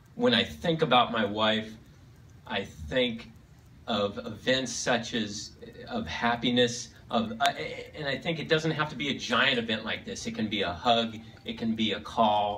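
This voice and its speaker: A man talks fairly slowly, with ordinary pitch variation, while light background noise plays behind him. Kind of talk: speech. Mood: sentimental, heartfelt. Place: hall. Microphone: pa.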